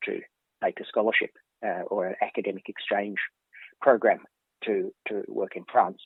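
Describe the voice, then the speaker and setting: A man with an Australian accent at a fairly quick pace. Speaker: professor. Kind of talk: interview. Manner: halting.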